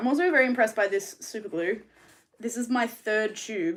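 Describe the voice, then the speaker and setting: A woman with an Australian accent and ordinary pitch variation. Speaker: mermaid tail maker and streamer. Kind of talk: casual live stream chat while crafting. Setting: live stream. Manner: rambling, hesitant with many ums.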